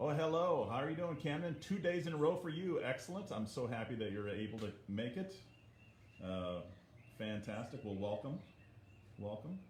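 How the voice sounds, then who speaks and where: Amid audible room echo and noticeable background noise, a man speaks at a medium pitch and moderate pace, his pitch swinging very widely and his speech broken by long, frequent pauses. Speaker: art teacher. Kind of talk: livestream art lesson. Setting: livestream from iPad. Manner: soft-spoken. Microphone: muffled iPad audio.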